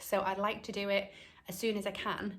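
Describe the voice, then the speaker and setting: A woman with a British accent speaks at a fairly slow pace in a medium pitch. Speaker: cross-stitch video blogger. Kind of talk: casual chat. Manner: hesitant, many ums.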